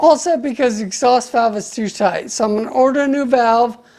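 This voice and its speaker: A woman with a fairly high pitch and ordinary pitch variation at a moderate pace, over noticeable background noise. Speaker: DIY video maker. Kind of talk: tutorial. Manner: halting.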